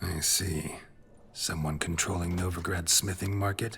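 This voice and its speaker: Over clear background noise, a man puts on a raspy character voice at a very deep, low pitch. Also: moderate pace. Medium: video game. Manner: terse, dry.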